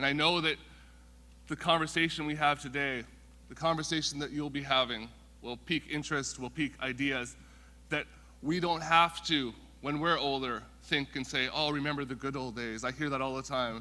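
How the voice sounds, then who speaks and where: A man with a Western Canadian accent speaks at a moderate pace in a fairly high pitch. His tone is bright and sharp, and his intonation stays fairly even. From Canada, Vancouver (Musqueam First Nation). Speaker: First Nations council member. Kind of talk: welcome speech.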